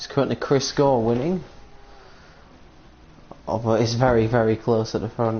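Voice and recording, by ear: With a slightly husky edge, a man talks at a moderate pace and medium pitch, using fairly even intonation.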